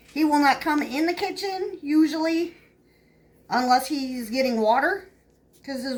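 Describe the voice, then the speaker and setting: A woman speaks at a fairly slow pace with a Southern US accent. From upstate New York. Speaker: home cook vlogger. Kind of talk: casual chat. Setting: home kitchen. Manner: rambling, filler-heavy casual talk.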